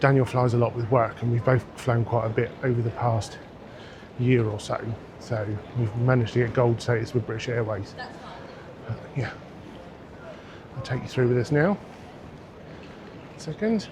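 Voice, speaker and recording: Against noticeable background noise, a man talks at a moderate pace with long, frequent pauses. His pitch is medium and his intonation fairly even. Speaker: travel vlogger. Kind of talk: vlog talk to camera. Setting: busy airport terminal; outdoors walking. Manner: quiet.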